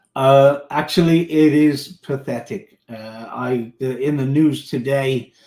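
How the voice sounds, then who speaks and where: A man talks with a slight British accent. His tone is dark and mellow. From United Kingdom. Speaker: tech company executive. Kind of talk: interview.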